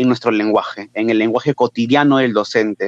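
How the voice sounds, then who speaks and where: In a Peruvian accent, the speaker shows ordinary pitch variation, captured in a dry, close sound with no echo. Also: man. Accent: Peruvian Spanish (Lima). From Peru, Lima. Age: 20s. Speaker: teacher. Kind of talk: interview.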